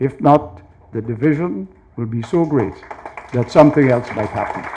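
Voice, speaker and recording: A man speaks at a moderate pace and a medium pitch. Background noise can be clearly heard. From Guyana. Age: 70s. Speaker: university chancellor. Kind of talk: speech. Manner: formal.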